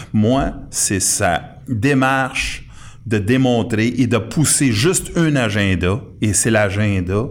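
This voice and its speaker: Very slowly, a man speaks at a fairly low pitch. His intonation is lively. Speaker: political commentator. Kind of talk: casual political talk show. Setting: studio.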